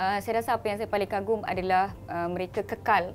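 With fairly even intonation, a woman speaks at medium pitch in an unremarkable speaking voice. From Malaysia, Malaysian Indian. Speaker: emergency doctor and social media influencer. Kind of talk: interview.

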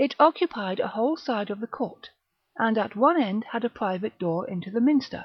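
Reading aloud in a natural voice, the speaker uses lively intonation over a quiet background.

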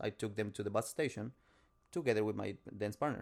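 In a strong Spanish accent, a man speaks at a moderate pace with a fairly low pitch. The recording is very clean, with a silent background. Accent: heavy Spanish. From Mexico. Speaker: podcast co-host. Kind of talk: casual chat.

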